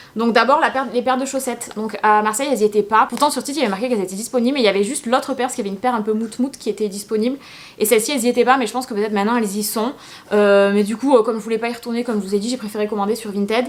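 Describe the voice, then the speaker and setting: A woman's fairly high-pitched voice at a very fast pace, with fairly even intonation. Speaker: YouTuber. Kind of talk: casual haul video talk.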